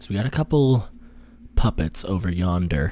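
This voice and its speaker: A soft-spoken man's very deep, low pitch in a dark, mellow tone. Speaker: gaming youtuber. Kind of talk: gameplay commentary. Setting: home recording, girlfriend sleeping nearby. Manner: casual. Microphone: very close to the microphone.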